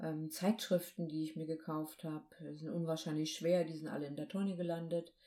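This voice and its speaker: The voice has a dark, mellow tone and fairly even intonation at a fairly quick pace. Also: woman. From northern Germany, Baltic coast. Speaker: podcast co-host, hypnosis coach. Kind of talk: casual chat.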